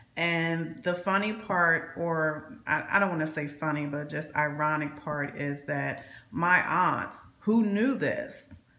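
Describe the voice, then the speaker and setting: A woman talks very slowly at a fairly low pitch, with ordinary pitch variation. Her voice carries audible room echo and noticeable background noise. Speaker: vlogger, former Jehovah's Witness. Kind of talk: personal vlog monologue. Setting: home alone. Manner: halting, many repeated words.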